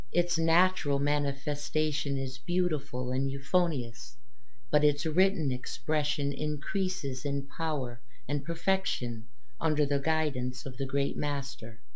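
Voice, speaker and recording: Over noticeable background noise, a woman with a very deep, low pitch talks in a solemn tone at a fairly slow pace, her loudness very even and her pitch varying in an ordinary way. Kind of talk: audiobook reading aloud of a religious text. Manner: formal, measured, solemn reading pace; earnest, reverent, devotional tone.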